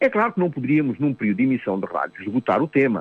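The man talks at a very fast pace. His pitch swings very widely. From Mozambique. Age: 70s. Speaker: psychotherapist. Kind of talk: radio talk. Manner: hesitant, repeats words.

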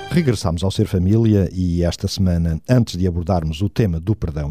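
In a very clean recording with a silent background, a man speaks at a moderate pace in a very deep, low, somewhat breathy voice with a dark, mellow tone and ordinary pitch variation. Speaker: radio host. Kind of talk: radio talk show.

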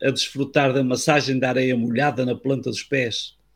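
A man speaks at a medium pitch and a moderate pace, somewhat breathy. His intonation is monotone and flat. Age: 70s. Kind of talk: scripted talk. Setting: video call.

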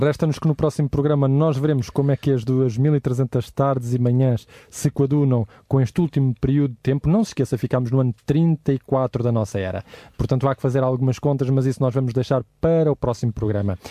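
A man's medium-pitched, dark, mellow tone at a fairly quick pace, fairly even in intonation, dry and close with no echo against a quiet background. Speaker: radio host. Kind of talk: radio Bible study discussion. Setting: studio.

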